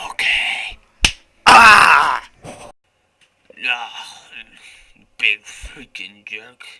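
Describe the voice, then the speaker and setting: A man uses a put-on character voice at a very slow pace. Long, frequent pauses break up his speech. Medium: comedy sketch. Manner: brash, aggressive.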